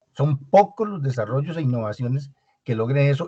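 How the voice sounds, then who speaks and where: The voice is somewhat breathy and moves at a fairly quick pace. The sound is dry and close, with no echo. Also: man. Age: 60s. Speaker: business owner, audience participant. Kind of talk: panel discussion. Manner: halting.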